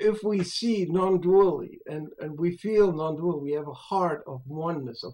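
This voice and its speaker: A high-pitched male voice, its pitch varying in an ordinary way. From Europe. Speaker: spiritual speaker; speaker. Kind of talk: interview conversation. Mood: reflective, earnest. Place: home room. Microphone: webcam.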